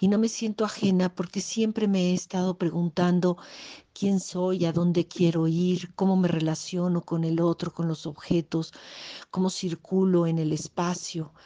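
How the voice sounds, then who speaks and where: A woman with a dark, mellow tone speaks in a fairly low pitch at a fairly slow pace. Her delivery is monotone and flat, with a dry, close sound and no echo. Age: 60s. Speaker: workshop participant. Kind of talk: recorded testimony.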